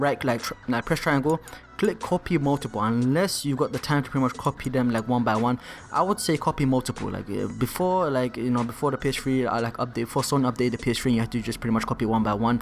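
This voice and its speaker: At a very fast pace, a man of medium pitch speaks over music in the background. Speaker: gaming tutorial youtuber. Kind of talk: tutorial. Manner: casual, filler-heavy.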